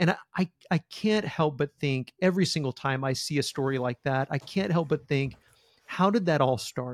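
With an ordinary speaking voice, a man talks at a moderate pace and a fairly high pitch with ordinary variation, the sound dry and close with no echo. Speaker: podcast host. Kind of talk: interview conversation.

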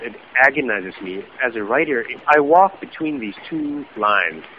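Noticeable background noise sits behind a man's fairly high voice. His pitch swings very widely. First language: German. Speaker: journalist and author. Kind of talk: podcast interview. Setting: remote call.

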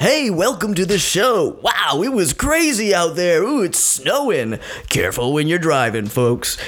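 Putting on a character voice, a man speaks at a moderate pace and a high pitch with very wide pitch swings, over light background noise. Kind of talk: polished, broadcast.

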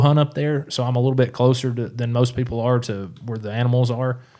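A man with a Tennessee accent speaks at a medium pitch with a dark, mellow tone. His pace is fairly quick and his intonation fairly even. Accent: Southern US (Tennessee). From East Tennessee. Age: 30s. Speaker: professional bass angler. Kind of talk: casual interview chat. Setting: studio.

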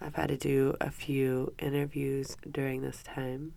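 A woman speaks at a fairly slow pace with an extremely low pitch, little pitch movement, a slightly mellow, nasal tone and vocal fry.

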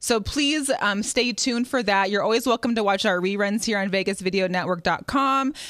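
In an American accent and an ordinary speaking voice, a woman at medium pitch talks at a moderate pace with hardly any pauses, ordinary pitch variation and very even loudness. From US Pacific Northwest (Seattle). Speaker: sports talk show host. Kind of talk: casual chat.

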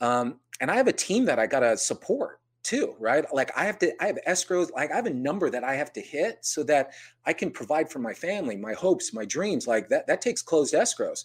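A man with an American accent at a fairly quick pace, very clean recording and silent background. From US West Coast (San Jose, California). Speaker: mortgage broker, business owner. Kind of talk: interview.

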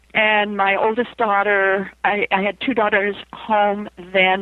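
Speaking at a fairly slow pace, a woman with a Western US accent has a medium pitch. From US West, Idaho. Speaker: author and near-death experience researcher. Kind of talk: interview.

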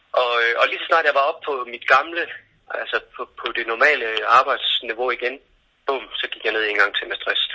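Here a man speaks at a moderate pace. He leaves long, frequent pauses. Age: 40s. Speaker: art director and speaker with visual impairment. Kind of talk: interview. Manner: halting, many fillers.

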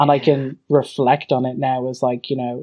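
A man with an Irish accent speaks at a medium pitch and moderate pace in a monotone, flat intonation, with a dry, close sound and no echo. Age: 20s. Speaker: university student. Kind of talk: casual chat.

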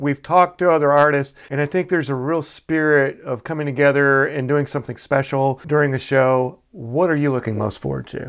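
Against a quiet background, a man with an American accent and an unremarkable speaking voice talks at a fairly quick pace with hardly any pauses, his fairly high pitch and intonation fairly even. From Chattanooga, Tennessee (US South). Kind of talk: interview.

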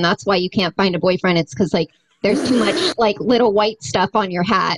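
Recorded dry and close with no echo, a woman with a normal speaking voice talks at a fairly quick pace, her medium pitch showing ordinary pitch variation. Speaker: musician. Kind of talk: casual chat.

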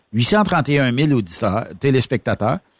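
The recording has a dry, close sound with no echo. A man's voice is heard. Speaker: radio host. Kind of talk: casual chat.

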